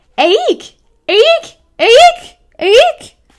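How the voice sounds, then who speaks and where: A squeaky, shrill put-on character voice at an extremely high pitch. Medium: read story.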